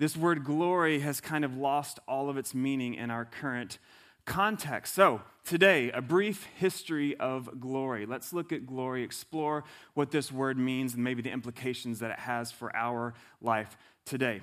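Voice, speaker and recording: A man speaks at a medium pitch with ordinary pitch variation, an unremarkable speaking voice with an American accent. The recording is very clean with a silent background. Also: moderate pace. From US South. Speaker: pastor. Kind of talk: sermon.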